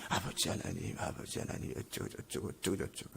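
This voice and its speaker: A man mumbles in a put-on character voice at a very fast pace. Clear background noise runs behind him. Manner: mumbling under the breath, listless.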